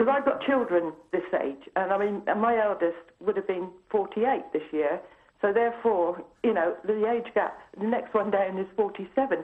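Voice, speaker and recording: A woman with a normal speaking voice talks at a moderate pace, medium in pitch with ordinary pitch variation. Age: 60s. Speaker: caller. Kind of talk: phone-in call. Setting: phone call.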